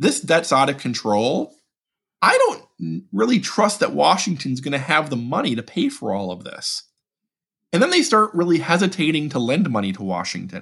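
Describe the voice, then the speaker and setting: With vocal fry and very wide pitch swings, a man talks at a moderate pace in a fairly high pitch. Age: 40s. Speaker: budget policy expert. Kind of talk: interview. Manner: halting, frequent repetitions.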